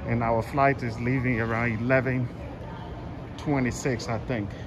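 Noticeable background noise accompanies the man as he talks. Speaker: travel vlogger. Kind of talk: casual vlog chat. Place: station. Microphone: phone near.

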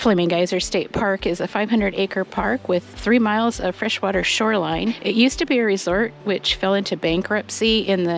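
A woman at a moderate pace, with a dry sound with no echo and light background noise. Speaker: hiking vlogger. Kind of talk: trail tour narration. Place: forest.

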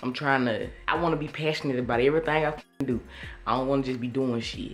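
A woman with an American accent and a very deep, low pitch talks at a very fast pace over music in the background. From Atlanta, USA. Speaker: vlogger. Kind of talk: casual vlog talk to camera. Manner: casual, energetic. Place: home room. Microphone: phone near.

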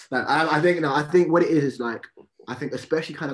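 The man's delivery is very fast. There is some light noise behind him. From London. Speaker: rapper. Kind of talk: interview. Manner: halting. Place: home room. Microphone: video call.

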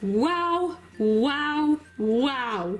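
A put-on character voice, female-sounding and high in pitch. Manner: playful, barking.

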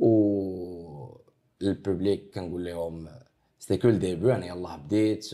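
A man speaks with a very deep, low pitch and a dark, mellow tone. His pitch varies in an ordinary way against a quiet background. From Morocco. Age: 20s. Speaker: rapper; interviewee. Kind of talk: interview. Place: office.

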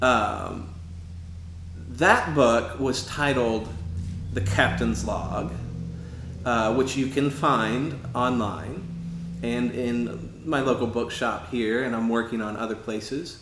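A man talks very slowly, leaving long, frequent pauses. Music plays behind his voice, which shows ordinary pitch variation. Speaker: painter; author. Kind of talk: casual explanation of own artwork. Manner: hesitant, many fillers. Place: home room.

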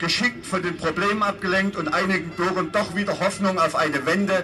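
A man talks at a fairly quick pace in a high pitch. Noticeable background noise can be heard. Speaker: speaker. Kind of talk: political speech. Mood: sarcastic, combative. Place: street.

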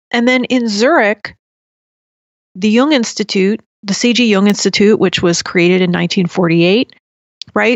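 In an American accent, a woman speaks at a fairly slow pace with ordinary pitch variation and an unremarkable speaking voice. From US Northeast (New Jersey). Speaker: podcaster on Jungian psychology. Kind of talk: casual interview chat.

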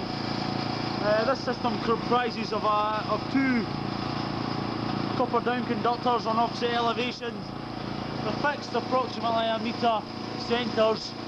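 Loud background noise fills the recording while the speaking keeps a moderate speed. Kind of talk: technical survey commentary. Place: factory. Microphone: old recording.

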